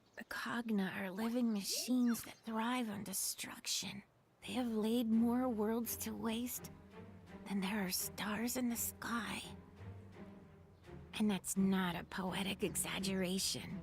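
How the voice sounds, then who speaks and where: A put-on character voice, female-sounding and medium in pitch, at a fairly slow pace with long, frequent pauses over faint background music. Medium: video game.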